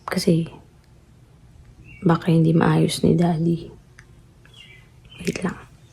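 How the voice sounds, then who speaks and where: A woman's fairly low, monotone, flat voice at a very slow pace, full of long, frequent pauses, over noticeable background noise. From Philippines. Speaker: family vlogger. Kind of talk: vlog. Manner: soft-spoken.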